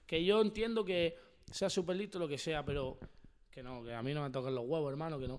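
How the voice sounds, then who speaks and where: Over a silent background in a very clean recording, a man talks at a fairly quick pace with lively intonation and a fairly high pitch, in an ordinary speaking voice. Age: 20s. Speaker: freestyle rapper. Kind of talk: casual chat.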